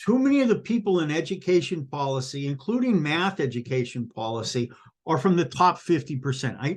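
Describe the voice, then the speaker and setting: Over a quiet background, a man with a fairly high pitch speaks at a moderate pace, his pitch swinging very widely. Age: 60s. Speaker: retired math teacher. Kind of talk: casual vlog monologue. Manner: animated; halting.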